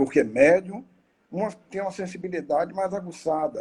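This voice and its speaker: A man's high-pitched voice has a dark, mellow tone. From Bahia, Brazil. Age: 60s. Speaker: spiritist lecturer. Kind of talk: lecture. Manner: halting, with fillers.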